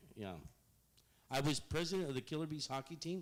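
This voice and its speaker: With a south Texas accent, a man talks while his pitch varies in an ordinary way. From Rio Grande Valley, south Texas. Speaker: marketing consultant. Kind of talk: public presentation. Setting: public meeting in a museum.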